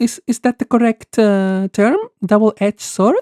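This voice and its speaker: A woman with a non-native accent talks at a fairly slow pace, her pitch fairly high and her tone dark and mellow. Her pitch varies in an ordinary way, and the sound is dry and close with no echo. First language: not English. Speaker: streamer, VTuber. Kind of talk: live game stream commentary. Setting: live stream. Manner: hesitant, many fillers.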